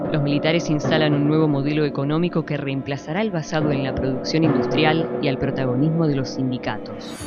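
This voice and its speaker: With music in the background, a woman talks at a fairly quick pace in a very deep, low pitch, with ordinary pitch variation and hardly any pauses. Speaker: narrator (voice-over). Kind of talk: documentary narration.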